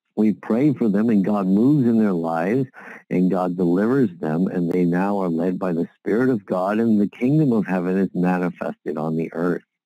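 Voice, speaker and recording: In a dark, mellow tone and a very deep, low pitch, a man speaks at a moderate pace, the sound dry with no echo and the background quiet. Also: ordinary pitch variation. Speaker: prayer call leader giving a devotional. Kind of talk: Bible reading then short sermon-style devotional, closing with fervent prayer. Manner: earnest, fervent, pleading in prayer; halting, with fillers and repeated words. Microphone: phone line.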